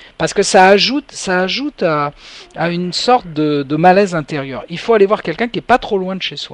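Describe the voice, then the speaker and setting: A man with a high voice talks fairly quickly and with lively intonation, the sound dry and close with no echo but with noticeable background noise. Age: 60s. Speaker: hypnotherapist radio host. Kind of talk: radio call-in show. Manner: hesitant, many fillers.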